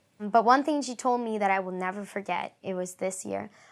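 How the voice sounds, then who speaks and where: This very clean recording has a silent background. A woman with a Spanish accent speaks at medium pitch with fairly even intonation. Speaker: acting student. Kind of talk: interview testimony.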